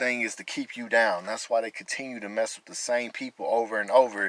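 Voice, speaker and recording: The man speaks with an American accent and fairly even intonation, captured in a dry, close sound with no echo. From Texas, Amarillo. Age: 30s. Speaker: vlogger. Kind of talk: testimony.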